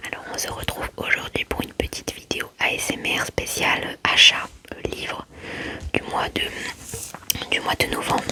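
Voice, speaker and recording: Whispering at a moderate pace with long, frequent pauses, a woman is heard over noticeable background noise. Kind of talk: ASMR book haul talk to camera. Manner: whispered.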